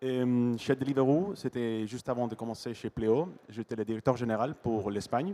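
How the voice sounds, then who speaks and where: In a Spanish accent, a man of medium pitch with a dark, mellow tone speaks at a moderate pace with ordinary pitch variation. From Spain. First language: Spanish (speaking French). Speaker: business executive. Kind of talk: panel discussion. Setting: stage at trade show conference.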